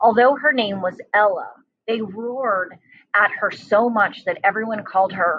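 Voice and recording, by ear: With ordinary pitch variation, the speaker is reading aloud in a natural voice over a quiet background.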